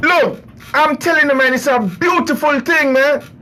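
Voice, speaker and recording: There is noticeable background noise as a man speaks in an American accent. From US South, New Orleans, Louisiana. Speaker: radio host. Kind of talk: casual radio monologue. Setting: studio. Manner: animated.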